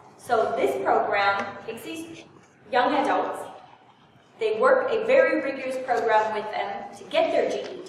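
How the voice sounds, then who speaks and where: A woman with a high pitch speaks at a fairly slow pace, her pitch swinging very widely and her loudness shifting in big swings. Audible room echo and noticeable background noise accompany her. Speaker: nonprofit representative. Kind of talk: presentation to a community group. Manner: animated.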